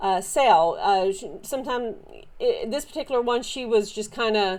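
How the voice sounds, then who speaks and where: Lively intonation in a Southern US accent, on a very clean recording with a silent background. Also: woman. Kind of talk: casual show-and-tell haul video. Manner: animated; halting with many fillers.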